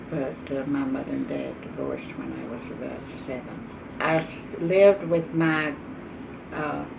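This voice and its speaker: With an East Texas accent, the speaker moves at a moderate pace with long, frequent pauses and big swings in loudness, against audible room echo and noticeable background noise. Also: woman. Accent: East Texas Southern US. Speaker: oral history interviewee. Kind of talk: oral history interview. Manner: halting.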